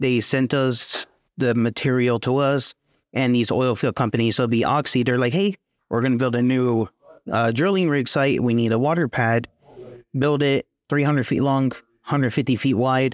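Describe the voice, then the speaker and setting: In a normal speaking voice, a man with an American accent talks at medium pitch and a moderate pace, with fairly even intonation, very even loudness and a dry, close sound with no echo. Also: very clean recording, silent background. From West Texas / southeast New Mexico. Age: 20s. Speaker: student. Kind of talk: casual interview.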